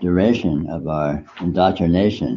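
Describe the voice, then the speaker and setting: Ordinary pitch variation comes with vocal fry in this voice. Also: man. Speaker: meditation teacher. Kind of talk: spiritual talk.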